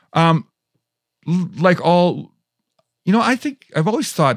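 In a dry, close recording with no echo, a man with an American accent speaks at a fairly slow pace. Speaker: rock musician and audio engineering teacher. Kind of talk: casual interview with storytelling. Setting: studio. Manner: animated.

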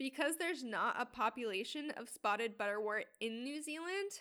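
An unremarkable speaking voice, a woman's, fairly high in pitch, at a moderate pace with ordinary pitch variation. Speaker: podcast host. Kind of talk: scripted narration.

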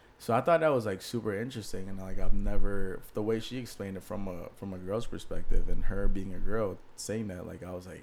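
A man with an ordinary speaking voice and an American accent, at a fairly quick pace with ordinary pitch variation and big swings in loudness. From Maryland / D.C. area. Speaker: podcast co-host. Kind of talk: casual chat.

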